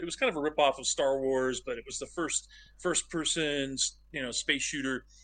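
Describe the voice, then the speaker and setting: Speaking with an American accent, a man has a fairly high pitch and a bright, sharp tone. He moves at a fairly quick pace with fairly even intonation. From southern Oregon, US. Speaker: game director. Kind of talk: interview.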